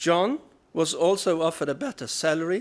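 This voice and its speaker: A man's fairly high voice with a Norwegian accent, very wide pitch swings and a moderate pace, on a very clean recording with a silent background. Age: 60s. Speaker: research funding agency director. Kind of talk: keynote speech.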